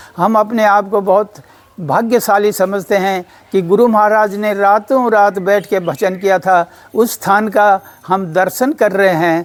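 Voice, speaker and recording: A man with a high pitch speaks at very even loudness and with fairly even intonation. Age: 80s+. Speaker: devotee. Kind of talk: testimony.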